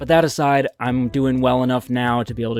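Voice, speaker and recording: A man talks at a very fast pace in a medium pitch. Music plays in the background. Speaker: Pokemon card collector. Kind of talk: casual talk to camera.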